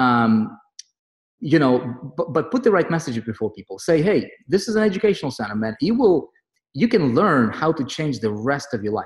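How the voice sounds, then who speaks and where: A somewhat breathy man with a non-native accent, fairly high pitch, very wide pitch swings and a moderate pace. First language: not English. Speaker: online marketing group leader. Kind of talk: motivational group call. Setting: online group meeting. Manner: animated.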